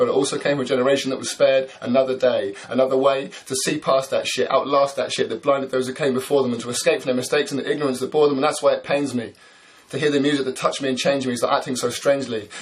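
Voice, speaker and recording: Very fast, flat monotone speech from a man with a fairly high pitch, over noticeable background noise. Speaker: spoken word poet. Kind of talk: spoken word poetry performance.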